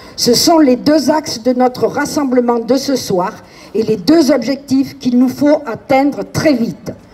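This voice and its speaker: Speaking at a fairly slow pace, a woman holds a high pitch with ordinary pitch variation and very even loudness amid noticeable background noise. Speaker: neighbourhood activist. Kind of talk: protest speech. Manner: formal.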